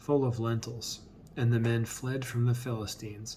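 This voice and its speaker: A soft-spoken man, somewhat breathy, in a monotone, flat intonation. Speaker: bible reader. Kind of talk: reading aloud. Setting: at home on camera.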